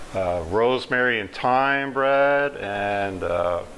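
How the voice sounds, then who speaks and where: Ordinary pitch variation in a man's speech. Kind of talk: interview answer. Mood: calm, friendly explanation. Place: kitchen.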